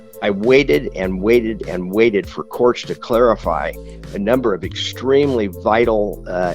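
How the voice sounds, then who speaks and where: Music plays behind a man with an American accent who speaks at a moderate pace in a medium pitch with ordinary pitch variation. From Orange County, California. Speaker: lawyer and author. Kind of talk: radio interview answer.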